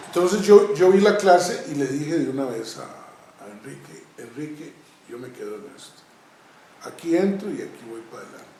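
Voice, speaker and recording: Over noticeable background noise, a man with a high pitch speaks at a moderate pace, his intonation lively and his loudness swinging widely. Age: 60s. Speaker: karate master. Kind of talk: interview, reminiscing. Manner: halting, with fillers.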